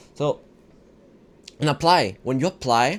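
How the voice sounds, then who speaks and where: A man with a strong non-native accent. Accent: non-native English, heavy. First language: not English. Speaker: self-improvement vlogger. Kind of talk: casual motivational talk. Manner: halting, repetitive.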